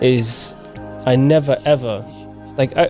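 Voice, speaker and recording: Music plays behind a man whose voice sits at a medium pitch. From Zimbabwe, then raised in England. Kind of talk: interview answer. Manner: casual, conversational.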